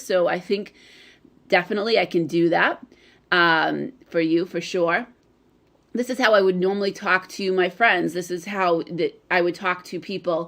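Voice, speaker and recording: A woman's put-on character voice, raspy and medium in pitch, at a moderate pace with fairly even intonation. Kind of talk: casual, like speaking to friends.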